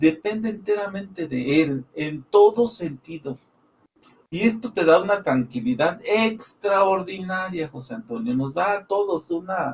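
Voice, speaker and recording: With lively intonation, a high-voiced man talks at a fairly slow pace. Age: 60s. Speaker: Bible study panelist. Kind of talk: religious discussion. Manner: animated.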